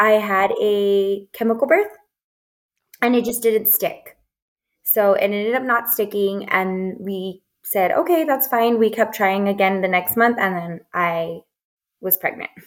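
An unremarkable speaking voice with ordinary pitch variation, at a fairly slow pace. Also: woman, medium pitch for a woman. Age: 20s. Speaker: doula. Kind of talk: casual chat.

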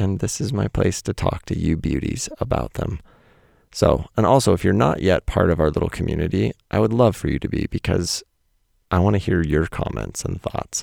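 Man's very deep, low voice with vocal fry and very wide pitch swings, moderate pace, dry and close with no echo. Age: 40s. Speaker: podcast host and poet. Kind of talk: reading own essay aloud. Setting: home recording under the stairs. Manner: casual, laughing.

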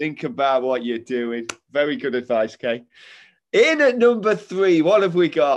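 In an East Midlands accent, the speaker sounds animated and enthusiastic, moving fairly slowly with very wide pitch swings against a quiet background. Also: man, fairly high pitch for a man. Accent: Derby East Midlands English. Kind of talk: casual interview. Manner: animated, enthusiastic.

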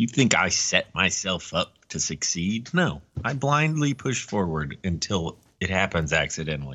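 A man's very deep, low voice with very wide pitch swings. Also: moderate pace. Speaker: podcast co-host. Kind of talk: casual chat. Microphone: connection cut out.

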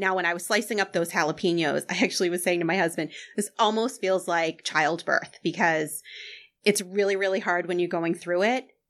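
A woman with an American accent talks at a fairly quick pace, medium in pitch and fairly even in intonation, in an ordinary speaking voice. The recording is very clean, with a silent background. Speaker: guest, small business owner.

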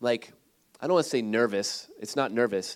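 On a very clean recording with a silent background, a man with a Midwestern American accent talks at a very fast pace with lively intonation. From Ohio, Cleveland area. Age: 30s. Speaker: missionary. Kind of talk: sermon. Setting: church.

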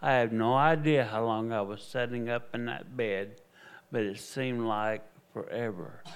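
This man speaks with a Southern US accent in a medium pitch. His pace is moderate and his pitch variation ordinary. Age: 60s. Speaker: evangelist and missionary preacher. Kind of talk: testimony. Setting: church. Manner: animated.

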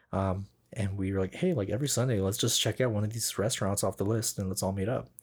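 Very fast and playful, a man with a fairly low pitch sounds somewhat breathy, keeping ordinary pitch variation and very even loudness on a very clean recording with a silent background. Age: 20s. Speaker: podcast host, camera assistant. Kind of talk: casual chat. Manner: joking, playful.

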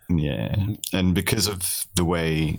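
Very deep male voice with creaky vocal fry and normal pitch movement. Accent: British. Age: 30s. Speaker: streamer. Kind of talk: casual chat.

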